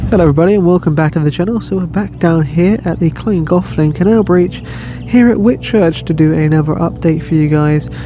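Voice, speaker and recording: Fairly quick mumbling over noticeable background noise. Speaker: vlogger. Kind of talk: casual vlog narration.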